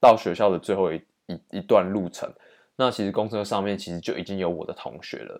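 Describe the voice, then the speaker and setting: Speech comes at a fairly quick pace with ordinary pitch variation and big swings in loudness. The recording is very clean, with a silent background. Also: man, fairly low pitch for a man. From Taiwan. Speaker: podcast host, exchange student. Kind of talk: solo storytelling monologue.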